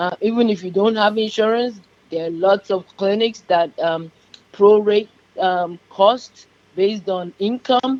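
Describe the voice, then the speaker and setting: A woman speaks with a Yoruba accent at a medium pitch. Her pace is fairly slow, with ordinary pitch variation. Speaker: diabetes nurse practitioner. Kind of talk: radio interview.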